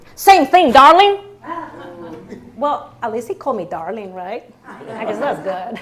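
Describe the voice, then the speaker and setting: Over noticeable background noise, a woman speaks with a Spanish accent at a fairly slow pace, leaving long, frequent pauses. Her loudness swings widely. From Colombia. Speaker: storyteller. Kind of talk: stage storytelling.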